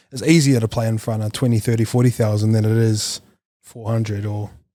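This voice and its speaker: A man in a New Zealand accent talks at a fairly quick pace with a medium pitch and a dark, mellow tone. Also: very clean recording, silent background. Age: 30s. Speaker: podcast host. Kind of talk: casual chat.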